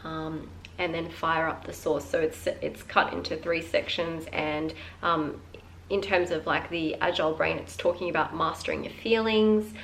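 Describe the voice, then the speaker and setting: There is noticeable background noise and audible room echo as a woman speaks at a fairly slow pace. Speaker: book vlogger. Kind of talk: casual chat. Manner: casual, many filler words.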